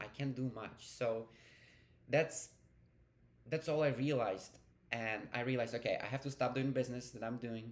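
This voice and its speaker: With a non-native accent, a man speaks at a moderate pace and medium pitch, with ordinary pitch variation. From Ukraine, then Hungary. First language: Ukrainian. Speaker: vlogger. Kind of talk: personal vlog storytelling. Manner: casual, with fillers and self-corrections.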